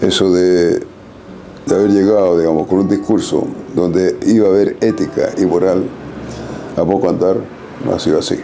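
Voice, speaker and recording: A man speaks at a moderate pace with very even loudness, pausing long and often. Room echo is audible, and background noise is noticeable. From Chile, Antofagasta. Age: 80s+. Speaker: photographer and former political activist. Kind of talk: interview testimony. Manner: emphatic.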